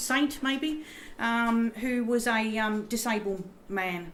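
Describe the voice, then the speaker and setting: A woman with an Australian accent speaks amid noticeable background noise and audible room echo. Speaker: professor. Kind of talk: lecture. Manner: halting.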